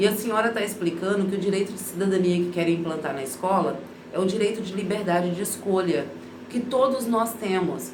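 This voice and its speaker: A woman speaks at a fairly quick pace and medium pitch, with ordinary pitch variation. Room echo is audible, and background noise is noticeable. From Brazil. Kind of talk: casual vlog monologue. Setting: bathroom at home. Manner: informal, conversational.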